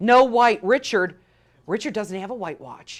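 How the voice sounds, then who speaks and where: In a very clean recording with a silent background, a woman with a Chicago accent talks at a fairly slow pace in an animated, fairly high-pitched voice. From Chicago western suburbs. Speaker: shopping channel host. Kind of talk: live TV sales pitch.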